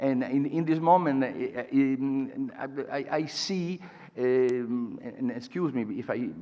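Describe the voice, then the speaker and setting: A man with an Italian accent speaks very slowly in a dark, mellow tone at a fairly high pitch. The room echo is audible. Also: ordinary pitch variation. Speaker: patient advocate. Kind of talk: conference talk. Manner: halting.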